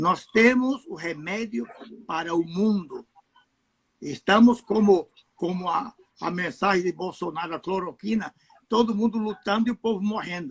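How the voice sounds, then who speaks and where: Speaking with a Spanish accent, a man with a high voice talks at a fairly slow pace with ordinary pitch variation and long, frequent pauses, in a dry, close recording with no echo. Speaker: pastor. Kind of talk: casual chat. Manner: halting.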